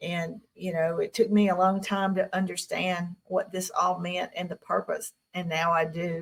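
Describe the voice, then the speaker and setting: A woman with a Southern US accent speaks fairly slowly at a medium pitch, somewhat breathy and monotone, with hardly any pauses. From Tennessee. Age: 60s. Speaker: UFO contactee. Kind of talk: interview.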